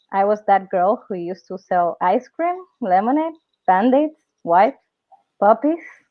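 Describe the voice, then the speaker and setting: A woman in a Spanish accent, with lively intonation and a fairly slow pace. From Dominican Republic. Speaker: entrepreneur and workshop speaker. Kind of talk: online workshop presentation. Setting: live webinar. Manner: halting, frequent fillers and self-corrections.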